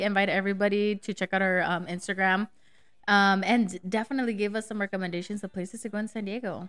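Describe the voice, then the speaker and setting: In a very clean recording with a silent background, a woman talks very fast with fairly even intonation. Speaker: podcast producer and guest. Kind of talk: casual chat. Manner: laughs often.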